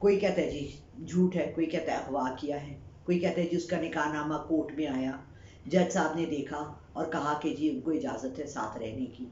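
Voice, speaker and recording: A woman's very deep, low voice comes through with audible room echo and noticeable background noise. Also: ordinary pitch variation, moderate pace. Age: 60s. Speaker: psychic reader and YouTuber. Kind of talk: opinion monologue.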